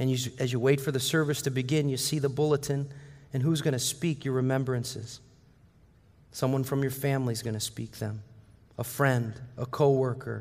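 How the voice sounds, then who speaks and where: A somewhat breathy man's voice at medium pitch, moderate in pace and monotone, with flat intonation. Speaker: preacher. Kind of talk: sermon; guided visualization. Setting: church with congregation. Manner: halting, conversational.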